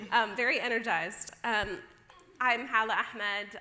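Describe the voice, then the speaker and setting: The speaker is a woman. She has an American accent. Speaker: policy researcher. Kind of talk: conference opening remarks. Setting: stage with audience.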